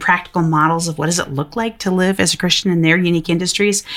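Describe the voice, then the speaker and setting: Speaking very fast with an American accent, a woman uses a fairly low pitch and fairly even intonation against noticeable background noise. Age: 40s. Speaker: faith and work author. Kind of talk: interview.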